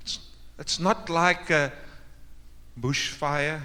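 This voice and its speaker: A man uses a raised, projected voice with a bright, sharp tone at a very slow pace. Room echo is audible. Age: 60s. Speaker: pastor. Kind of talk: sermon. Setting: church.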